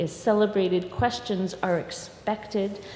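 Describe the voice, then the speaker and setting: A woman at medium pitch and a fairly slow pace, with noticeable background noise and audible room echo. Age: 60s. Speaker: minister. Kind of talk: sermon. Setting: church.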